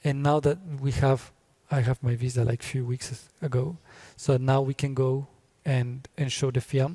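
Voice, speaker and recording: This man's voice is somewhat breathy, with a dark, mellow tone. He talks at a fairly slow pace with monotone, flat intonation. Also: medium pitch for a man. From Colombia. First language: Spanish. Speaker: filmmaker. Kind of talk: interview. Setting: festival venue talk. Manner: halting, many fillers.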